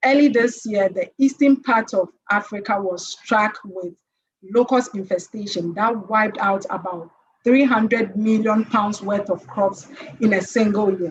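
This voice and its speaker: With ordinary pitch variation, a woman's fairly high voice moves at a fairly slow pace. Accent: Ghanaian. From Ghana. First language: Twi. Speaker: conference panelist. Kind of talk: conference presentation.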